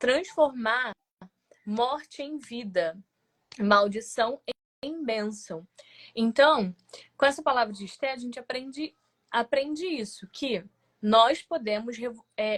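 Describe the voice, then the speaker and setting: Very slow and broken by long, frequent pauses, a woman's high-pitched speech has lively intonation and big swings in loudness. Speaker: lay preacher. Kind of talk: sermon.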